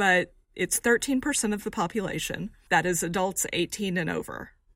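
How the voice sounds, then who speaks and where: A woman with an unremarkable speaking voice, medium pitch and ordinary pitch variation, on a very clean recording with a silent background. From rural Texas. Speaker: survey research director. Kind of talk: interview explaining survey findings.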